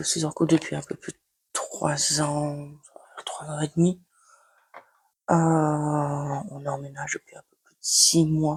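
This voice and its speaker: A woman talks at a very slow pace in a very deep, low pitch, somewhat breathy and with monotone, flat intonation. Her loudness swings widely, and long pauses come often. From Belgium, Liège. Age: 20s. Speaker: beauty vlogger. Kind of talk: casual makeup tutorial chat. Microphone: new microphone, first use.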